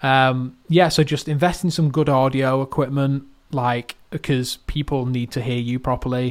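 A man with a plain, everyday voice speaks at a moderate pace and medium pitch, with fairly even intonation. There are hardly any pauses, and the recording is very clean with a silent background. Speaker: marketing expert. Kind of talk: podcast advice.

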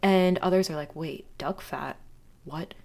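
A woman speaks at a medium pitch. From Virginia Beach. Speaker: podcast co-host, nutritional therapy practitioner. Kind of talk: casual chat.

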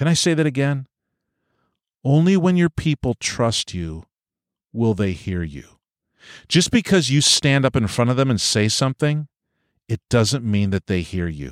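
A man's voice with very wide pitch swings and long, frequent pauses, in a dry, close sound with no echo, on a very clean recording with a silent background. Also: medium pitch for a man, moderate pace. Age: 50s. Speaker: pastor and podcast host. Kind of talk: solo podcast monologue. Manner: personal, conversational.

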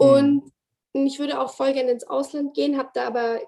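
A woman talks at a fairly quick pace in a dark, mellow tone. Her pitch variation is ordinary. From Bavaria, Ingolstadt. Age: 20s. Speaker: dancer and choreographer. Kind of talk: interview. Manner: hesitant with fillers.

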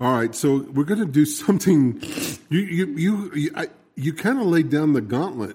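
A normal speaking voice from a man, pitched fairly high, moving at a moderate speed. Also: lively intonation. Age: 60s. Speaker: radio co-host. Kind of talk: casual chat. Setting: radio studio.

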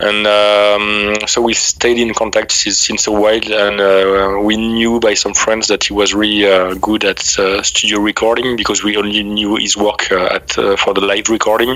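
A man with a French accent speaks at a fairly low pitch with monotone, flat intonation and very even loudness. He takes hardly any pauses, and there is noticeable background noise. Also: moderate pace. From France. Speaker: metal band vocalist and bassist. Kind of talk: interview. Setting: video call. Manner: halting.

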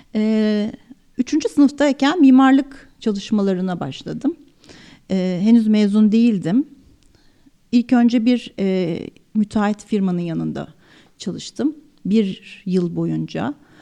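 Her voice is fairly high in pitch, with a dark, mellow tone and lively intonation. This woman speaks at a very slow pace, with long, frequent pauses. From Turkey, Çanakkale. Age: 40s. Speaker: architect, design manager. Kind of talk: interview. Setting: studio.

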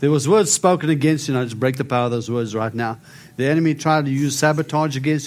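With a South African accent, a man talks at a very fast pace. His pitch is fairly high and his intonation fairly even. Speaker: prophet, author and preacher. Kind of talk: sermon and testimony with prayer.

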